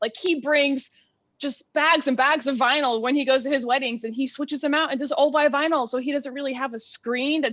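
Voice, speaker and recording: A woman with an American accent speaks loudly at a high pitch and a fairly quick pace, keeping her intonation fairly even. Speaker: comedian and DJ. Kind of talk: casual chat. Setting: video call.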